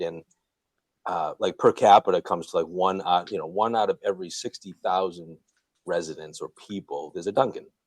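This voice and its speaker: The recording of this man is dry and close with no echo, and he talks at a fairly quick pace. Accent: Boston. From Boston, Massachusetts. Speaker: Dunkin' franchise owner and real estate investor. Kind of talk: podcast interview. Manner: relaxed, many fillers.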